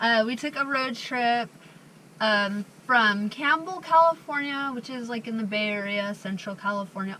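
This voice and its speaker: Spoken at a moderate pace with lively intonation, the voice comes through over noticeable background noise. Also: woman. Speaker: van life vlogger. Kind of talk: casual vlog chat. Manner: chatty, filler-heavy.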